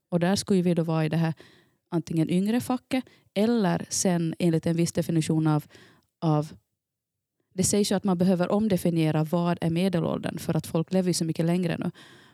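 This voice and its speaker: A woman with a dark, mellow tone and fairly low pitch talks at a fairly quick pace, her pitch varying in an ordinary way and her loudness very even, in a dry, close recording with no echo, very clean, with a silent background. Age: 40s. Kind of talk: casual chat.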